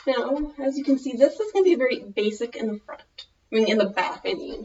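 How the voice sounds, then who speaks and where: A woman with a Minnesota accent talks at a fairly quick pace in a high voice, her pitch swinging very widely and her loudness rising and falling a lot. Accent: Minnesotan American. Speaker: fashion vlogger. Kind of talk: tutorial.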